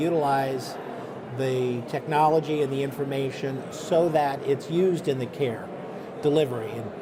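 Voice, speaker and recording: Over noticeable background noise, a man with an American accent speaks in a fairly high voice. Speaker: health IT executive. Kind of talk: interview.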